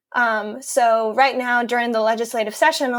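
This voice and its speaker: A high-voiced woman with a Spanish accent speaks in a flat monotone, in a very clean recording with a silent background. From Mexico City, Mexico. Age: 20s. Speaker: environmental field organizer. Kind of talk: interview. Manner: hesitant, many fillers.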